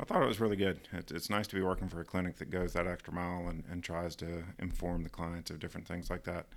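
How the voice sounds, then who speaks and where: Over a silent background in a very clean recording, a man with a Southern US accent talks at a very fast pace with hardly any pauses, his very deep, low voice staying monotone and flat. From US South (Georgia). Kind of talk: casual chat.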